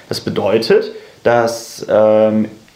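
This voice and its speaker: A man's voice over noticeable background noise. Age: 20s. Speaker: university student and party activist. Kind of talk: podcast interview. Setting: in person at a table. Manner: casual, many fillers.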